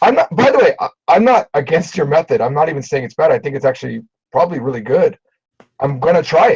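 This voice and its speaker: Very fast and in an American accent, a man speaks with a dry, close sound and no echo. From Japan. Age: 40s. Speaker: Japanese teacher and business owner. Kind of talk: heated debate. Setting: voice chat. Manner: animated.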